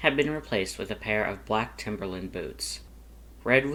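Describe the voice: With lively intonation, the passage is delivered as plain reading aloud.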